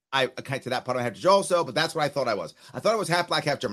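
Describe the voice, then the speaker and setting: Very fast speech in a New York accent comes with a bright, sharp tone and ordinary pitch variation. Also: man. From New York City (South Bronx), then Long Island. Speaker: entrepreneur, former political candidate, veteran. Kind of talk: casual interview conversation.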